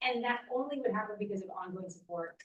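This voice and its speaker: With ordinary pitch variation, this woman holds a medium pitch. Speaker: housing advocacy leader, lawyer. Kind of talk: public presentation at event. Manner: loud.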